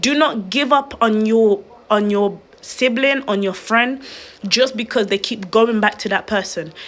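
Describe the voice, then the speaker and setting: In a plain, everyday voice, a woman with fairly high pitch talks at a fairly slow pace with ordinary pitch variation. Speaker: online video host. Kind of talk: livestream talk. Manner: earnest, pleading.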